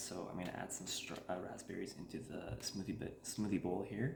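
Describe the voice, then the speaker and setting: The speaker is soft-spoken. There is audible room echo. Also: man. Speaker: cooking channel host. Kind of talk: tutorial. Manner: casual, filler-heavy.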